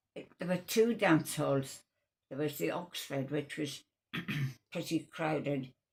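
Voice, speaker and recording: A woman speaks with a very deep, low pitch and ordinary pitch variation. Her somewhat breathy voice comes with long, frequent pauses. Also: fairly slow pace, big swings in loudness. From North East England. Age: 90s; old. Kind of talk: interview answer. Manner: hesitant, slow.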